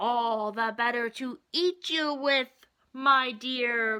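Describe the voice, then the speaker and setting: A woman puts on a character voice, speaking at a very slow pace with a high pitch. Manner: growling.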